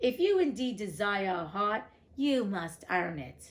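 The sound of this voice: A woman does a put-on character voice, gruff and growling, at a medium pitch and a fairly slow pace.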